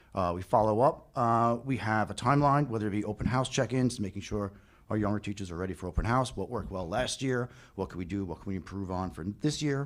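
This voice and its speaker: In a very clean recording with a silent background, a man talks at a very fast pace. His pitch is fairly low, with ordinary pitch variation. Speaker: teachers' union representative. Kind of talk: presentation at board meeting. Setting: board meeting with audience.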